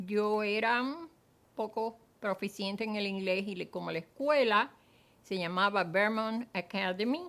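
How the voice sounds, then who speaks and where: At a fairly slow pace, a woman with a Cuban accent speaks at a medium pitch with ordinary pitch variation. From Cuba, Matanzas. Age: 80s+. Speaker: former teacher, Cuban exile. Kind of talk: testimony. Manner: hesitant, with frequent fillers.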